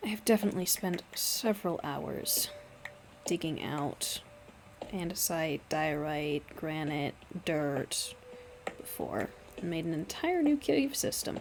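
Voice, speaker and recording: Soft-spoken and fairly low in pitch, a woman talks at a very slow pace with lively intonation. She leaves long, frequent pauses, and noticeable background noise is present. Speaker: gaming streamer. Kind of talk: gameplay commentary.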